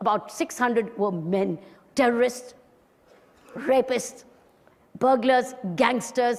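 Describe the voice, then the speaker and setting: Her intonation lively, a woman speaks in a high pitch with an Indian accent. She keeps a moderate pace. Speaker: retired police officer, social activist. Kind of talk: motivational talk to an audience.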